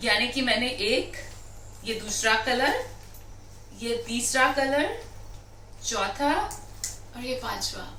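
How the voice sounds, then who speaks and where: Noticeable background noise sits under a woman's high-pitched voice. She leaves long, frequent pauses. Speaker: anchor and professional voice artist. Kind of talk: casual vlog talk to camera. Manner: enthusiastic, chatty.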